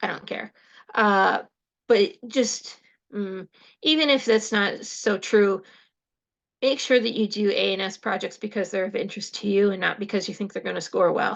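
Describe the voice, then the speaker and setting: This woman's voice sits at a medium pitch with ordinary pitch variation. She leaves long, frequent pauses against a quiet background. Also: moderate pace. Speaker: horse educator and hobby historian. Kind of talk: talk at an online club meeting. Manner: loud.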